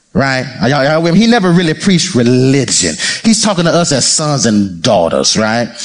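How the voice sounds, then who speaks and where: A man with a fairly high pitch sounds animated, his pitch swinging very widely. Audible room echo and noticeable background noise surround him. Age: 40s. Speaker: pastor. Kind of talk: sermon.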